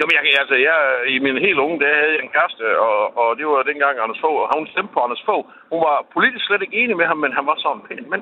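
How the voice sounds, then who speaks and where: A man rattles along at a very fast pace with lively intonation and a fairly high pitch. Noticeable background noise can be heard. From Kolding, southern Jutland. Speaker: radio caller. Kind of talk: phone-in call.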